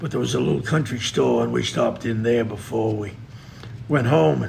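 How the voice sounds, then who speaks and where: Over noticeable background noise and audible room echo, a man talks at a moderate pace in a medium pitch. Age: 70s. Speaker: trapper and fur buyer. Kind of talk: interview.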